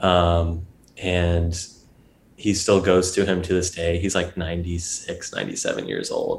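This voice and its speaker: In an American accent, the speaker goes at a very slow pace with a somewhat breathy voice. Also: man. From US South (Georgia, Atlanta suburbs). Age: 20s. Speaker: photographer and drummer. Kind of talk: casual interview conversation.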